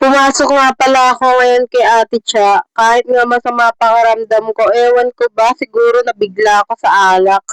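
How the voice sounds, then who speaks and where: A woman speaks in a high pitch with monotone, flat intonation, hardly any pauses and very even loudness. The sound is dry and close, with no echo. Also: moderate pace. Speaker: vlogger. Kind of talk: vlog voiceover narration.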